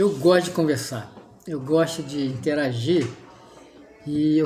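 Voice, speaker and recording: Music plays behind a man whose pitch is fairly high and varies an ordinary amount. He speaks at a moderate pace, with audible room echo. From Rio de Janeiro state, Brazil. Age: 60s. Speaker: environmental engineer and art restorer. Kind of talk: casual chat.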